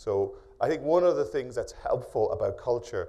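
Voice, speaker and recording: Audible room echo surrounds speech delivered at a fairly quick pace. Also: man. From Ireland. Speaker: professor. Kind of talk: keynote lecture. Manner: fast; hesitant, many fillers.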